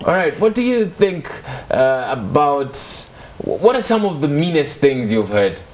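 Speaking at a fairly slow pace, a man with a fairly high pitch makes very wide pitch swings and leaves long, frequent pauses. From Kenya. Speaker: TV show host. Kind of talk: casual interview. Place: studio.

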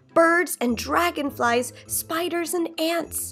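A woman, with faint music in the background. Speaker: storybook reader. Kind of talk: children's story read-aloud. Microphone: phone near.

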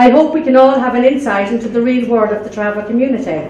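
With audible room echo and light background noise, a woman with an Irish accent speaks in a high pitch. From Ireland. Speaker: community health coordinator; speaker. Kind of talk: prepared speech. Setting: library event with audience. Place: hall. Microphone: podium.

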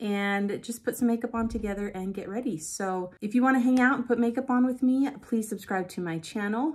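A woman with ordinary pitch variation keeps a fairly quick pace, and the background is quiet. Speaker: beauty vlogger. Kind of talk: casual vlog chat. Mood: a bit frustrated, venting. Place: home room. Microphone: phone near.

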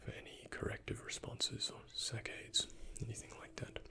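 At a fairly slow pace, a man is whispering. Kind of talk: roleplay medical exam, soft-spoken. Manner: soft-spoken ASMR murmur, close to mic.

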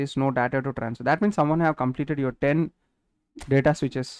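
A man speaks with an Indian accent and ordinary pitch variation. The background is quiet. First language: Telugu. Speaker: gaming streamer. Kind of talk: live gaming stream commentary. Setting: live stream. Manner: animated.

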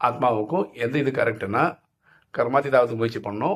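On a very clean recording with a silent background, a man at medium pitch speaks in an ordinary speaking voice. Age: 50s. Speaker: spiritual teacher, YouTuber. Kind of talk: spiritual Q&A talk. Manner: conversational.

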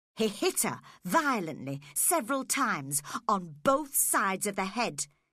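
This clip is plain reading aloud.

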